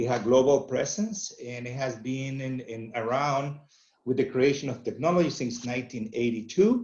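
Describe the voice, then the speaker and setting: A man's medium-pitched voice with a Venezuelan accent, ordinary pitch variation, a moderate pace and big swings in loudness. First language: Spanish. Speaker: agronomy company representative. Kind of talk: webinar presentation. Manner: halting, many fillers.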